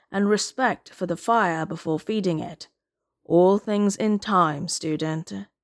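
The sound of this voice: Ordinary pitch variation marks this unforced reading voice, heard over a quiet background.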